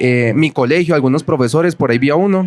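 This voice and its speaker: Ordinary pitch variation from a male speaker going at a fairly quick pace, with noticeable background noise behind him. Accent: Bogotá. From Bogotá, Colombia. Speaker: author and researcher. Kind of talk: book presentation talk.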